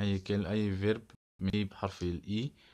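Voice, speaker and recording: The speaker has an Egyptian accent. The intonation is monotone and flat. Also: man, very clean recording, silent background. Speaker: English teacher. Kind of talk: vocabulary lesson. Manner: repetitive word drilling.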